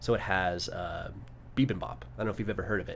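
A man speaks with a fairly low pitch and vocal fry. His pitch swings very widely. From New Mexico. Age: 30s. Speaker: architect. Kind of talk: casual chat. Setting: live stream studio.

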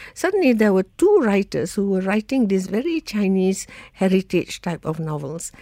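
A woman speaks at medium pitch in a dark, mellow tone with lively intonation. The sound is dry and close, with no echo. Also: moderate pace. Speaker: novelist. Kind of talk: interview.

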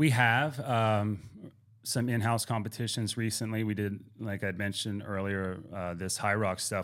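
In a normal speaking voice with an American accent, a man speaks at a moderate pace and fairly low pitch with fairly even intonation, on a very clean recording with a silent background. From Pittsburgh, Pennsylvania. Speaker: gym owner and fitness coach. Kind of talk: casual interview.

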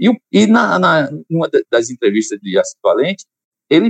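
The man speaks at a fairly slow pace. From Salvador, Bahia, Brazil. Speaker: choir conductor and musician. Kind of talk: casual interview.

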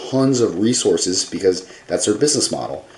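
A man speaks over noticeable background noise. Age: 20s. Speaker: vlogger. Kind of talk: casual monologue. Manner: low energy.

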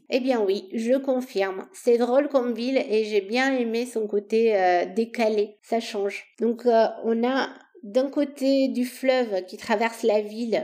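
A woman with a slight Romanian accent speaks in a fairly high voice. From Romania, Bucharest. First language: Romanian (speaking French). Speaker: podcast host. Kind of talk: solo travel storytelling.

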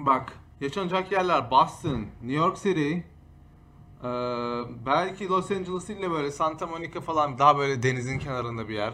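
Here a man talks at a moderate pace in a fairly high, bright and sharp voice. His pitch varies in an ordinary way. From Istanbul, Turkey. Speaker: streamer and podcast host. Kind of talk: casual chat.

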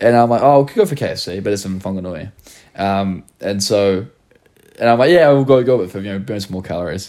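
A man's dark, mellow voice, fairly low in pitch, at a fairly quick pace with a New Zealand accent. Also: ordinary pitch variation, big swings in loudness. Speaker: podcast host and content creator. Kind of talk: casual chat.

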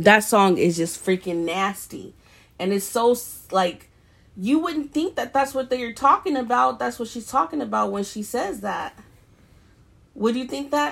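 A woman with a fairly high voice speaks in an animated tone at a fairly slow pace, her pitch swinging very widely between long, frequent pauses, on a very clean recording with a silent background. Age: 30s. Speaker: podcast co-host. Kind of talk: casual chat.

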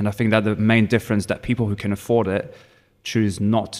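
Monotone, flat intonation from a man with a French accent, fairly low in pitch for a man. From France, Provence. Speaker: bartender. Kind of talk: casual chat.

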